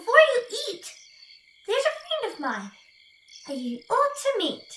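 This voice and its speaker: A woman uses a put-on character voice at an extremely high pitch, speaking at a moderate pace. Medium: read story. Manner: calm, cunning.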